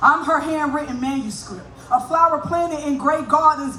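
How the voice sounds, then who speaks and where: An energetic woman at a fairly quick pace with ordinary pitch variation, amid noticeable background noise and audible room echo. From US South (north Florida). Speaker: spoken word poet. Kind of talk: stage banter; poetry performance. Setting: stage with audience.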